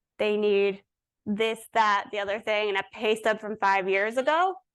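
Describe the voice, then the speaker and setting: Against a quiet background, a woman speaks at a fairly high pitch. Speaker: presenter, staff attorney. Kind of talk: conference workshop presentation. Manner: fast.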